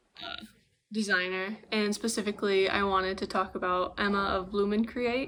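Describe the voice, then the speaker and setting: A woman's normal speaking voice at medium pitch, with fairly even intonation and a moderate pace. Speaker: knitting podcaster. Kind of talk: casual vlog chat.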